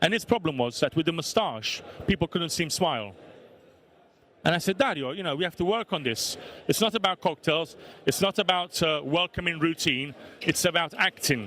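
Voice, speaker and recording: In a Neapolitan accent, a man with a high pitch talks at a fairly quick pace with lively intonation, in a dry, close sound with no echo. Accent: Italian (Neapolitan) accent in English. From Italy, Naples. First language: Italian. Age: 40s. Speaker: bar owner. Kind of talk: talk to an audience. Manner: animated.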